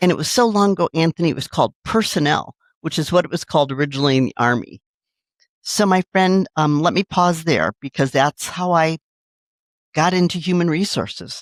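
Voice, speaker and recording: In a dry, close sound with no echo, a woman with an unremarkable speaking voice talks fairly quickly at a fairly low pitch, with ordinary pitch variation. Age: 60s. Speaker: city government HR executive. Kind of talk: interview.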